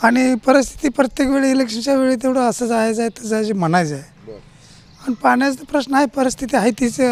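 A man's extremely high pitch shows ordinary variation while noticeable background noise sits beneath him. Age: 60s. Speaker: villager, farmer. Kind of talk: street interview.

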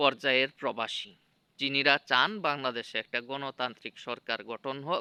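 Dry and close with no echo, a man's voice has a bright, sharp tone and fairly even intonation. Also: medium pitch for a man. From Bangladesh, Mymensingh district. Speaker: political commentator vlogger. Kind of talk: unscripted monologue. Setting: outdoors.

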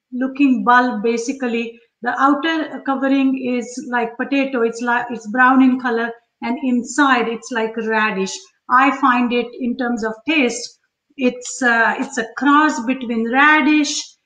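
There is audible room echo and a quiet background as a woman with a high pitch talks at a fairly slow pace with fairly even intonation. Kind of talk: live cooking tutorial chat. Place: kitchen. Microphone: webcam.

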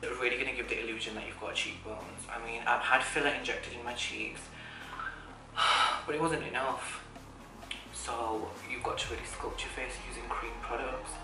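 Speech at a moderate pace comes through over loud background noise. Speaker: makeup vlogger. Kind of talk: tutorial. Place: home room.

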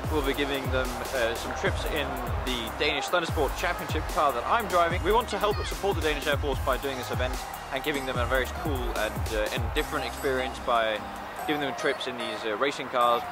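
Loud music plays behind a man talking at a fairly quick pace. The sound is dry, with no echo. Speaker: racing driver vlogger. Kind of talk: casual vlog chat. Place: street. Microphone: phone near.

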